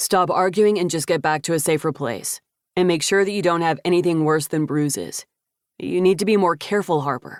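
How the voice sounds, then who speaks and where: A gruff, put-on character voice at a middle pitch moves along at a fairly quick pace. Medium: read story. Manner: curt, gruff.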